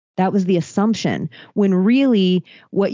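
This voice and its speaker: A woman with a plain, everyday voice talks at a fairly slow pace, her medium pitch moving with ordinary variation. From Florida, Palm Beach. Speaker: podcaster. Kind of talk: casual chat.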